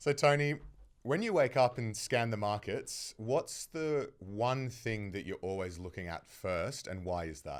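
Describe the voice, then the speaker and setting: A man in a strong Australian accent at a fairly slow pace, medium pitch and lively intonation, on a very clean recording with a silent background. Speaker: podcast host. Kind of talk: interview.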